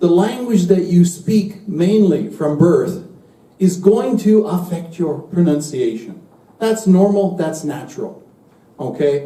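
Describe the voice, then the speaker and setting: A man's high-pitched voice at a very slow pace, ordinary pitch variation, with audible room echo. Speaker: university English teacher. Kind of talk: lecture. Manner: slow and clear.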